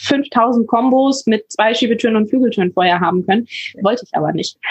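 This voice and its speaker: Somewhat breathy, a woman talks at a very fast pace in a dry, close recording with no echo. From northern Germany, near Hamburg. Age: 20s. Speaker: paramedic and van traveller. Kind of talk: interview.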